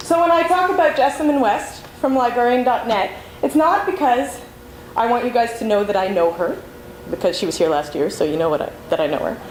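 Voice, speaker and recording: A woman with a high pitch talks at a fairly quick pace with very wide pitch swings, amid noticeable background noise and audible room echo. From Canada, Montreal, Quebec. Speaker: librarian and conference speaker. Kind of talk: conference talk. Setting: stage with audience. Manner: fast.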